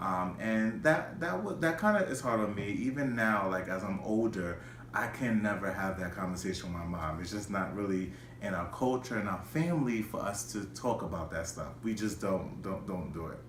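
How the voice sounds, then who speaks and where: Noticeable background noise and audible room echo surround a man with an American accent whose fairly low voice carries lively intonation. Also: moderate pace. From New York City, the Bronx. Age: 20s. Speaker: schoolteacher. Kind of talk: personal video monologue. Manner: halting, many repetitions and fillers.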